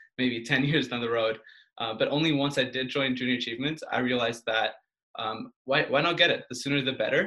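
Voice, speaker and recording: Intonation stays fairly even while the words come out at a very fast pace. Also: man. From Portugal, Belgium and Canada. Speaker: university student. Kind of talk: casual interview.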